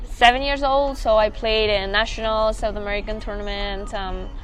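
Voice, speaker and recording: A woman's fairly high voice at a moderate pace, fairly even in intonation, with audible room echo and music in the background. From Argentina. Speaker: college tennis player. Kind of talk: interview. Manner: halting.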